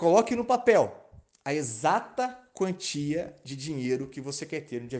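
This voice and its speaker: A man's fairly high voice, animated in tone, with lively intonation. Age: 30s. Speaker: sales and marketing coach. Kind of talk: motivational talk.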